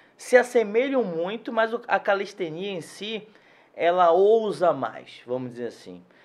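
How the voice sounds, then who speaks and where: A man with a high voice talks at a fairly slow pace, his pitch swinging very widely and his loudness rising and falling sharply. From Salvador, Bahia, Brazil. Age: 40s. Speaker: physiotherapist. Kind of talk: interview.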